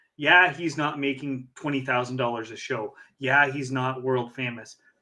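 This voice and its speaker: The voice is a plain, everyday voice. A man speaks at a moderate pace. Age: 40s. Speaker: podcast host and hypnotist. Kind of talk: casual chat.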